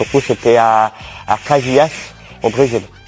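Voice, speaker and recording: The speech moves at a fairly slow pace with fairly even intonation against noticeable background noise. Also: man. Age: 20s. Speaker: table tennis coach, former deaf athlete. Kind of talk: interview answers. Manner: hesitant, many fillers.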